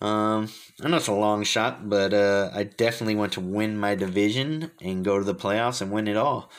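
With an American accent, a man talks at a moderate pace in a fairly low voice with ordinary pitch variation. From Fremont, California. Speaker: retro game streamer and rapper. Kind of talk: recorded self-interview answers. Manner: hesitant, many fillers.

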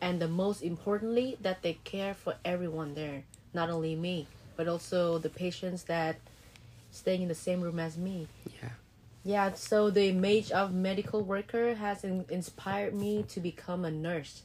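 With a Vietnamese accent, a woman speaks at a moderate pace in a medium-pitched voice. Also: ordinary pitch variation. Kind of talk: casual interview answers. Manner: slightly nervous, unsure.

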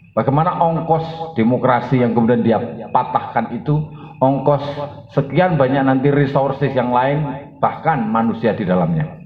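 Heard with audible room echo and noticeable background noise, a man at medium pitch talks at a moderate pace with lively intonation and very even loudness. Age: 40s. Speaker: sociology lecturer and activist. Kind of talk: panel discussion answer.

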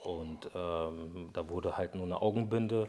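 His intonation stays fairly even. The speaker is a man. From Brazil, moved to Germany at ten. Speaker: interview guest telling personal tragedy. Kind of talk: personal testimony in casual interview. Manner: halting, many fillers.

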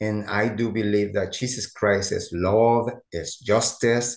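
Speaking with a Mexican accent, a man uses a fairly low voice at a very slow pace. The background is quiet. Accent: Mexican Spanish-accented English, noticeable. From Mexico. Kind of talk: interview conversation.

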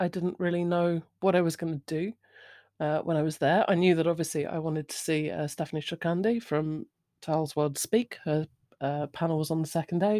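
With a British accent, a woman speaks at a fairly quick pace and fairly low pitch, her intonation fairly even and her tone dark and mellow, in a dry, close sound with no echo on a very clean recording with a silent background. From Britain. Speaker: podcast host. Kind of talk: solo monologue. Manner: rambling, informal.

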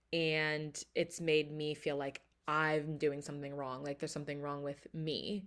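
Speaking fairly slowly, a woman uses a very deep, low pitch and monotone, flat intonation. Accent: American. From Philadelphia area, US. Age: 20s. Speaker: podcast host and artist. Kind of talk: solo podcast monologue.

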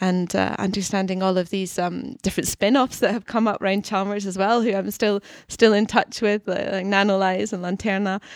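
This woman has a Scottish accent and talks at a fairly quick pace with hardly any pauses. Her intonation is monotone and flat, on a very clean recording with a silent background. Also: medium pitch for a woman. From Scotland. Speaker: university researcher. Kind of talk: podcast interview. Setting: studio.

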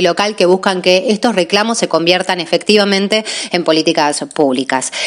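A woman at a moderate pace with ordinary pitch variation, noticeable background noise behind her. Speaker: law student. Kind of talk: scripted narration.

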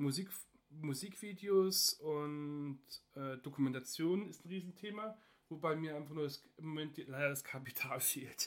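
With an unremarkable speaking voice, a man speaks at a fairly high pitch and ordinary pitch variation. His pace is fairly slow. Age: 30s. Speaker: podcast host, industrial technician and hobby photographer. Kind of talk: casual solo podcast introduction.

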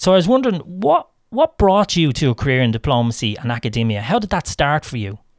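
A man with an Irish accent talks very fast at a fairly high pitch, with very wide pitch swings. The sound is dry and close with no echo, on a very clean recording with a silent background. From Ireland. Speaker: podcast host. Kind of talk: scripted intro; casual interview.

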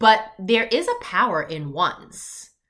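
Her tone bright, sharp and animated, a woman speaks at a fairly high pitch. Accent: New York. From US, Long Island, New York. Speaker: business coach podcast host. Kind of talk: solo podcast monologue.

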